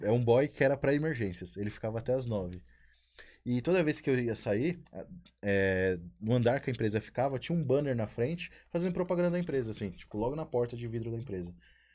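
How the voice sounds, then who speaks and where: A man talks at a very fast pace with medium pitch, lively intonation and a dark, mellow tone. The recording is very clean, with a silent background. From São Paulo periphery, Brazil. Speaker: podcast co-host. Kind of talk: casual chat. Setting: live-streamed studio.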